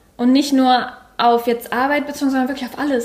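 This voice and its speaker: A woman speaks at a high pitch in a monotone, flat intonation. Noticeable background noise runs underneath. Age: 20s. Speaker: coach. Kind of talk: casual chat. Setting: sitting at a table sharing one microphone.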